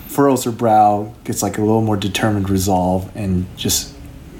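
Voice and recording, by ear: Intonation here is fairly even. The speaker is reading aloud in a natural voice.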